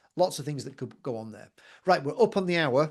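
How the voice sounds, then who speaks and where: A man talks very fast, with ordinary pitch variation, over a quiet background. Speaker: surgical robotics industry expert. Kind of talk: webinar masterclass Q&A. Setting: video call.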